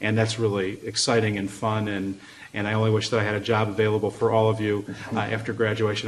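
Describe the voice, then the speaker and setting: A man speaks with an American accent at a fairly low pitch. His intonation is monotone and flat. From US Midwest, Chicago. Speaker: law school faculty, moot court judge. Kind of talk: feedback remarks to competitors.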